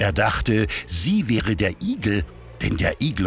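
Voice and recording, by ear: Slowly, a man talks with vocal fry and big pitch swings.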